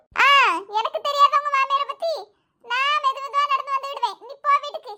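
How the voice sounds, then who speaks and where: In a squeaky, cartoonish character voice, a woman speaks at a moderate pace with extremely high pitch and fairly even intonation. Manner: chatty, homely.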